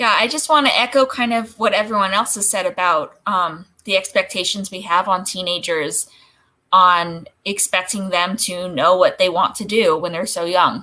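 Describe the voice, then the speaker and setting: A woman speaks in a bright, sharp tone with ordinary pitch variation. The recording is very clean, with a silent background. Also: medium pitch for a woman, moderate pace. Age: 30s. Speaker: author. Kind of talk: panel discussion.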